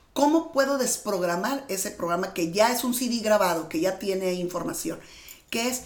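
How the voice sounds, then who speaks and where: A medium-pitched woman's voice has lively intonation, heard with audible room echo and noticeable background noise. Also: moderate pace. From Mexicali, Baja California, Mexico. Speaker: manifestation and mindset coach. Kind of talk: interview.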